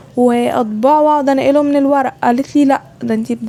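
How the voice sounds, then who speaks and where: A woman with an Egyptian accent speaks at a fairly quick pace, high-pitched with ordinary pitch variation. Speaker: student vlogger. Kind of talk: casual vlog voiceover.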